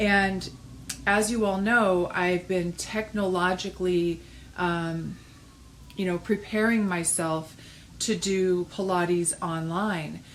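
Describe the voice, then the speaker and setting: Very slow and in monotone, flat intonation, a woman speaks. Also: medium pitch for a woman. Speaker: pilates instructor and studio owner. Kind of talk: video message to clients. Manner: hesitant, many fillers.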